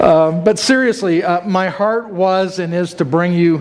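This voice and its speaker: A man speaks at a high pitch with fairly even intonation. Noticeable background noise is present. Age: 60s. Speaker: church staff member giving testimony. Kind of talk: testimony. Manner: rambling with fillers and false starts.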